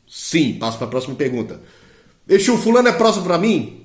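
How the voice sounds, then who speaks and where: A man speaks with very wide swings in pitch. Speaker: Candomblé priest and diviner. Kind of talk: live-stream teaching. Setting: live stream.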